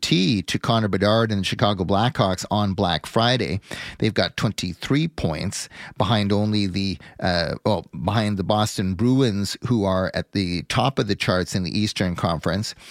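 An ordinary speaking voice, a man with a Canadian accent talks at a fairly low pitch with ordinary pitch variation, in a dry, close sound with no echo and a very clean recording with a silent background. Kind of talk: sports business commentary, talk radio monologue. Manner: fluent, polished, long-winded radio delivery.

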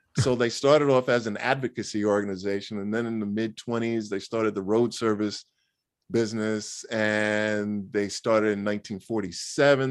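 A man talks with a New York accent. His intonation is fairly even. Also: quiet background. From New York City (Queens). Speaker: motoring organization spokesman. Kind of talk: interview.

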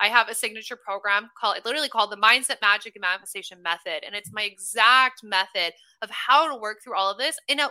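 Delivered at a very fast pace with hardly any pauses, this American-accented voice has a bright, sharp, animated tone and lively intonation. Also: woman. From US Midwest (Omaha, Nebraska). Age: 20s. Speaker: manifestation coach. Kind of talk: casual chat.

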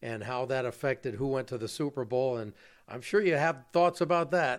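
An American man with an unremarkable speaking voice talks at a moderate pace with ordinary pitch variation. The recording is very clean, with a silent background. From Los Angeles. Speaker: sports radio reporter and podcast host. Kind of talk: interview. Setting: at the guest's home.

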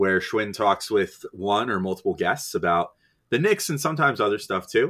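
A bright, sharp male tone, recorded very cleanly against a silent background. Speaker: podcast host and site editor. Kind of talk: casual podcast chat, mailbag Q&A. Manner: casual, joking, chatty.

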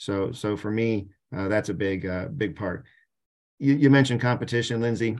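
A man with an American accent talks at a moderate pace in a medium pitch, using ordinary pitch variation against a quiet background. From Canton, Ohio, US Midwest. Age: 50s. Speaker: sports museum president. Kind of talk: interview.

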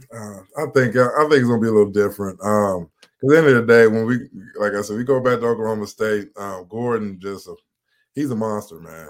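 A man with an American accent talks at a fairly quick pace in a medium pitch. His loudness swings widely while his pitch varies in an ordinary way. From Cincinnati, Ohio. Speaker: former college football player, podcast co-host. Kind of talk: casual sports talk. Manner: halting, many fillers.

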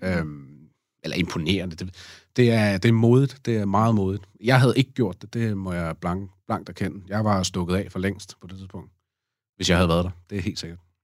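A man's very deep, low voice at a moderate pace, with ordinary pitch variation, big swings in loudness, and a very clean recording over a silent background. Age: 30s. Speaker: podcast guest, father. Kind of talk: casual interview. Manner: halting, many fillers.

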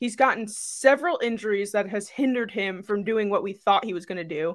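A woman talks at a fairly quick pace in a plain, everyday voice with ordinary pitch variation, in a very clean recording with a silent background. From Staten Island, New York. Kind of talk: casual chat.

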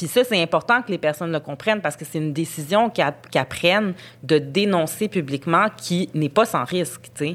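A woman speaks with a Quebec accent at a moderate pace. Her pitch is fairly low and her intonation lively. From Montreal, Quebec. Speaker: journalist. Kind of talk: casual interview conversation.

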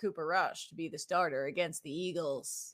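This voice has a bright, sharp tone and an American accent. The recording is very clean, with a silent background. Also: woman. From Boston area, Massachusetts. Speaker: sports podcast host. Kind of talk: casual chat.

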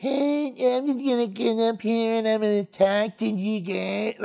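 At a moderate pace, a put-on character voice speaks with a fairly high pitch. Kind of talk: casual. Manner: lazy, slow, laid-back.

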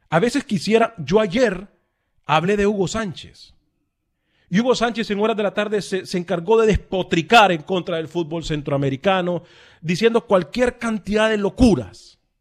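A man speaks at a moderate pace in a high voice with ordinary pitch variation against a quiet background. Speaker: radio host. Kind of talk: live radio sports talk show with callers. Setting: radio studio with phone calls.

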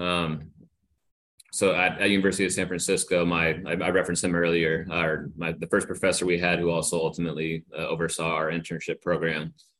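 Over a quiet background, a man with a very deep, low voice speaks very fast in an American accent with monotone, flat intonation. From Northern California. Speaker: sports media relations director. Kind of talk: interview.

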